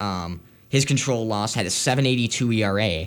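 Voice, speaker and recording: In a plain, everyday voice, a man speaks with a fairly low pitch and lively intonation. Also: very clean recording, silent background. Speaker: college radio co-host. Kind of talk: scripted-sounding radio intro, then laid-back sports chat. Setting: college radio studio. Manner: calmer, measured, conversational, some hedging fillers.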